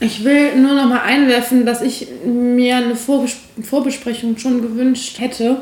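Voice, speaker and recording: There is noticeable background noise behind a woman speaking at a high pitch and a fairly slow pace. Her intonation is monotone and flat, and her loudness stays very even. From Aachen, western Germany. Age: 20s. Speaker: podcast guest. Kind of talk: casual chat.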